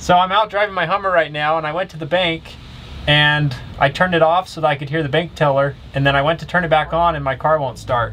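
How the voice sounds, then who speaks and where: A man at a very fast pace with fairly even intonation, over light background noise. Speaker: vehicle owner vlogger. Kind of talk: casual vlog chat and phone call. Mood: amused, mildly frustrated. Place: car. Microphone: camera far.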